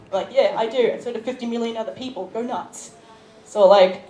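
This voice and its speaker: With noticeable noise around her, a woman delivers her words at a fairly quick clip. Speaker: YouTuber, convention panelist. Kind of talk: convention panel talk. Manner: fast.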